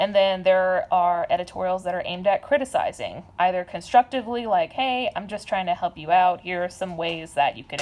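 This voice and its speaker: At a moderate pace, a woman talks with lively intonation at a medium pitch. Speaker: teacher. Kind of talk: recorded lesson for students. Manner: loud.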